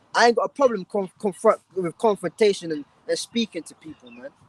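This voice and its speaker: A man shouts at a fairly quick pace in a high pitch with lively intonation, the sound dry and close with no echo. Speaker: street preacher. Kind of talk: live street preaching stream. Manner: shouting; animated.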